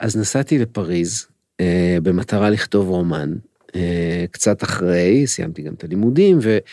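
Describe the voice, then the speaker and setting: Recorded with a dry, close sound and no echo, a man with a dark, mellow tone talks at a fairly slow pace with ordinary pitch variation. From Israel, Holon. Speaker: crime novelist and literature lecturer. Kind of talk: interview conversation. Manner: hesitant, many fillers.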